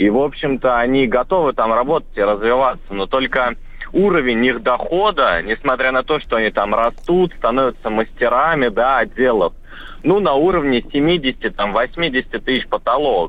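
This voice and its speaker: A man with a normal speaking voice talks at a moderate pace and medium pitch, with lively intonation and very even loudness. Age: 20s. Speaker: bank employee. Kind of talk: radio call-in.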